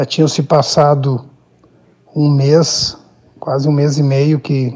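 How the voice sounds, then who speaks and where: Very slowly, a man talks with a fairly high pitch and fairly even intonation. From Brazil, Rio Grande do Sul (Minas do Leão). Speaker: football coach, former player. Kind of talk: interview. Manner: halting, repeats words.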